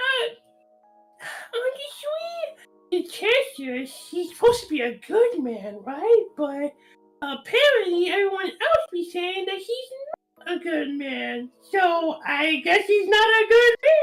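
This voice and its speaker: Faint music plays in the background. A squeaky put-on character voice sits at an extremely high pitch. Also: fairly slow pace. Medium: actual play. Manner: hesitant, rambling.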